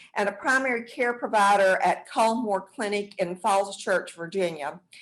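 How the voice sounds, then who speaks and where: Spoken in a strong Southern US accent at a fairly slow pace, the voice shows ordinary pitch variation against a quiet background. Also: woman. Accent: thick Southern US. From US South, South Georgia. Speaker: acupuncturist and health care provider. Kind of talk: online presentation. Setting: online webinar.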